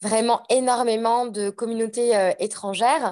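A fairly high-pitched woman at a fairly slow pace, an ordinary speaking voice over a quiet background. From France, Savoie (Annecy). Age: 30s. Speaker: podcaster. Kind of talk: casual chat.

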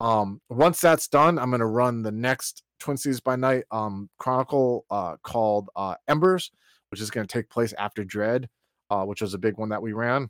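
A man with a normal speaking voice, medium pitch and ordinary pitch variation at a moderate pace, in a dry, close sound with no echo. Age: 40s. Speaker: podcast host and game master, guest. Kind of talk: casual chat. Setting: online voice call.

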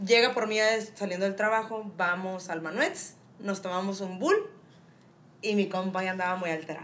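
The speech moves at a moderate pace with fairly even intonation. Audible room echo surrounds it. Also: woman, medium pitch for a woman. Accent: Mexican. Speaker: podcast co-host. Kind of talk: casual chat.

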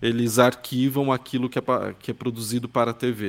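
This man has a medium pitch and an ordinary speaking voice. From São Paulo, Brazil. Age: 20s. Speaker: journalist and podcast specialist. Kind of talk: interview conversation.

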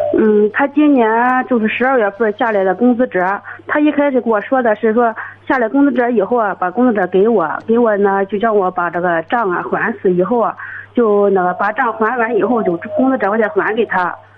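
Through noticeable background noise, a woman speaks at a fairly quick pace with a fairly high pitch, ordinary pitch variation and very even loudness. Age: 30s. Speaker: caller. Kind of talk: phone-in advice call. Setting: phone call.

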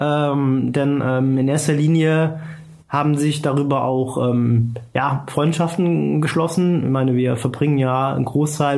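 Amid noticeable background noise and audible room echo, a man with a fairly high pitch speaks with fairly even intonation. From Germany, Trier. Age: 30s. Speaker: football commentator, former club press officer. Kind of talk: casual interview. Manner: hesitant, many fillers.

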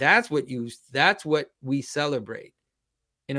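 A man with a Quebec accent speaks at a moderate pace on a very clean recording with a silent background. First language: French. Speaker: icon carver and public speaker. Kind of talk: interview conversation.

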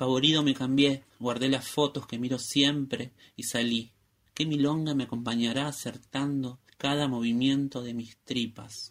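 Here a man talks at a fairly slow pace in a medium pitch. His intonation is monotone and flat. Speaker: listener, student writer. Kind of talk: reading aloud his own text.

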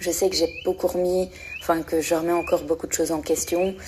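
A woman speaks in a fairly low pitch with monotone, flat intonation. Noticeable background noise is present. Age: 20s. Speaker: listener sharing her experience. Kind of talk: recorded voice message monologue. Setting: voice message.

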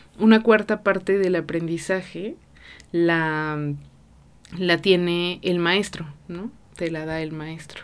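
Pausing long and often, a woman with a fairly low voice speaks at a very slow pace with fairly even intonation. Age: 30s. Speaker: podcast host. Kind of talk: casual monologue. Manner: many filler words.

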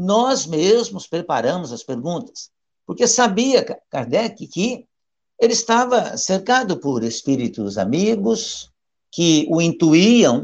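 A man's high-pitched voice with very wide pitch swings at a very slow pace. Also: quiet background. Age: 60s. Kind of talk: study session. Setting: live stream.

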